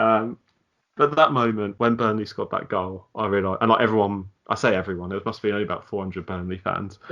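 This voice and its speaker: In a Southern English accent, a man talks at a very fast pace with a bright, sharp tone. His pitch sits fairly low and his intonation stays fairly even. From southern England. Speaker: football podcast co-host. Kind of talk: casual chat.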